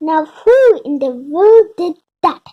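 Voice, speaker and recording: A woman puts on a character voice. It is squeaky and pitched extremely high. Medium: read story.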